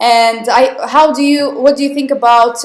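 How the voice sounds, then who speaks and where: A woman with a Russian accent speaks at a fairly slow pace. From southern Russia, Krasnodar. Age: young. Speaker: English teacher. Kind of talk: online webinar lesson. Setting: live online webinar with chat.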